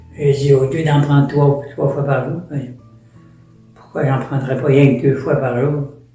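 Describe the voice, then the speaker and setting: Music plays in the background behind a man. His pitch is fairly high, and his intonation is monotone and flat. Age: 80s+. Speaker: permanent deacon. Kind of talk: interview answer, personal storytelling.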